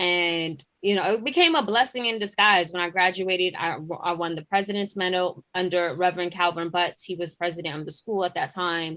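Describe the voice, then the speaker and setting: This woman has a bright, sharp tone and a New York accent. She talks at a fairly quick pace with hardly any pauses and fairly even intonation. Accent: deep New York. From New York City, Queens. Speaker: journalist and digital editor. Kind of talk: interview. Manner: hesitant, many fillers.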